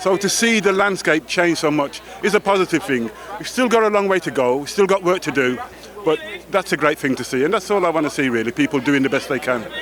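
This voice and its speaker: Through noticeable background noise, a man talks very fast in a high pitch with lively intonation. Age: 60s. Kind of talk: red carpet interview. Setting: outdoors at awards red carpet.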